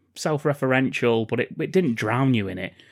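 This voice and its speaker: A man with an English accent speaks at a fairly quick pace in a medium pitch. The recording is very clean, with a silent background. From England. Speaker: podcast co-host. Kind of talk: casual chat.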